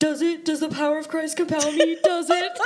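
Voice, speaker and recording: In a put-on character voice pitched high, the speaker talks at a fairly quick pace with flat, monotone intonation. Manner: cackling, taunting.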